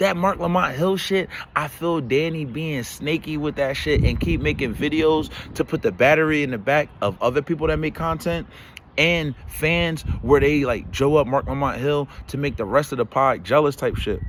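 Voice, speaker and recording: Noticeable background noise under a man's fairly high pitch, moderate pace and ordinary pitch variation. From South Jersey, US. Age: 40s. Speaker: podcast commentator. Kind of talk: casual commentary vlog. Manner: casual, profane, animated.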